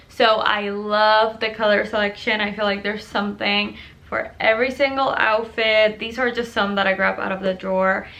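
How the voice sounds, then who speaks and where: In a Puerto Rican accent, a woman speaks at a moderate pace with a fairly high pitch and monotone, flat intonation. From Puerto Rico. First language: Spanish. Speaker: lifestyle YouTuber. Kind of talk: product review vlog. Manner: casual, chatty.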